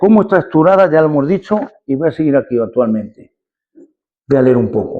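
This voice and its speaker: A man speaks in a dark, mellow tone. His intonation is lively. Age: 70s. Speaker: lecturer, retired engineer. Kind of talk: lecture. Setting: parish hall talk with audience. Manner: halting, many repetitions.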